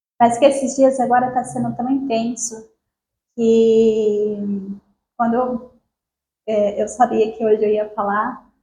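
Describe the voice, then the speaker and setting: Soft-spoken and dark, mellow in tone, a woman talks at a fairly slow pace in a monotone, flat delivery broken by long, frequent pauses. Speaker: spiritual group speaker. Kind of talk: spiritual talk. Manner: halting.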